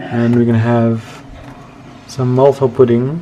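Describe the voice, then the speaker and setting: Over noticeable background noise and audible room echo, a man talks at a fairly slow pace in a medium pitch with monotone, flat intonation. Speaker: vlogger. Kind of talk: casual vlog. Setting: at home.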